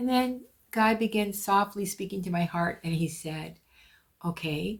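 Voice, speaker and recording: Over a very clean recording with a silent background, a woman speaks at a fairly slow pace with a medium pitch, ordinary pitch variation and a somewhat breathy quality. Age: 70s. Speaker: podcast host. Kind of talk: casual monologue. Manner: conversational, with fillers.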